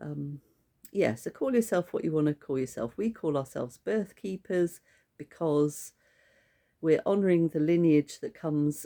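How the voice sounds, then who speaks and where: Her voice very deep and low, a woman speaks in a dark, mellow tone with lively intonation. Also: dry, close sound with no echo. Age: 60s. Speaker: birth keeper trainer, former midwife. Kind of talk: casual promotional talk to camera.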